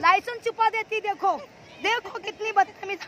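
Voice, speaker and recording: Using a raised, projected voice, a woman speaks with a dry sound, no echo and light background noise. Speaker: vlogger. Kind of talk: casual vlog chat, teasing. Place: beach. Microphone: phone near.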